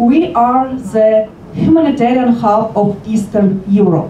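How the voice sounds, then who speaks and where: Here a woman speaks with fairly high pitch and ordinary pitch variation. Noticeable background noise and audible room echo surround her voice. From Ukraine. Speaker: local politician. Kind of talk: formal speech.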